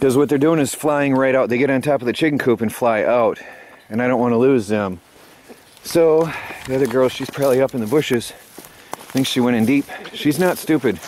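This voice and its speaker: Over light background noise, a man talks at a fairly quick pace with ordinary pitch variation and a dry sound with no echo. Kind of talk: casual vlog chat. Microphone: phone near.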